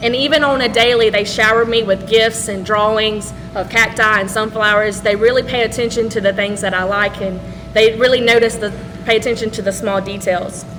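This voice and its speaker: A woman speaks at a fairly quick pace in a fairly high voice with flat, monotone intonation. Noticeable background noise sits behind her. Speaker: teacher. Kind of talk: ceremony speech. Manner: loud.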